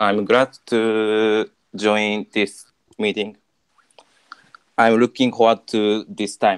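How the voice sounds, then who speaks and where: Dry and close with no echo, a man with a non-native accent and fairly low pitch talks at a very slow pace in a monotone, flat intonation, with long, frequent pauses. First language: not English. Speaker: panel guest. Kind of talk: panel introduction. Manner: halting.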